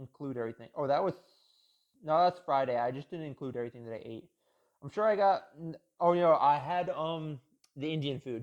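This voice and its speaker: A man at a fairly high pitch with ordinary pitch variation, a fairly quick pace broken by long, frequent pauses, and big swings in loudness, over a quiet background. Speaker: fitness vlogger. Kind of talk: casual vlog monologue. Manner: halting, self-correcting.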